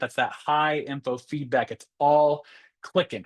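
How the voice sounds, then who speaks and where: A man with an American accent speaks in a fairly high voice. The sound is dry and close with no echo, and the background is quiet. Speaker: math educator. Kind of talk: webinar presentation. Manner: fast; animated.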